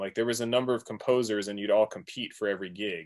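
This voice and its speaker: A man with a medium pitch and a normal speaking voice talks at a fairly quick pace on a very clean recording with a silent background. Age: 40s. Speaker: music producer and DJ. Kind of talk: casual chat.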